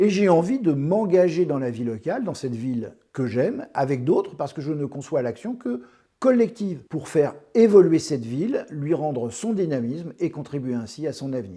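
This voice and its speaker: A man's fairly high, dark, mellow voice with very wide pitch swings at a moderate pace, against a quiet background. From France, Paris region (Essonne). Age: 60s. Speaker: local election candidate, retired teacher. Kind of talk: campaign self-presentation.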